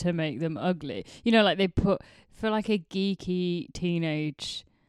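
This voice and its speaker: A woman's fairly low voice, a plain, everyday voice, at a fairly slow pace with ordinary pitch variation, dry and close with no echo on a very clean recording with a silent background. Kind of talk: casual chat. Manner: playful, laughs often.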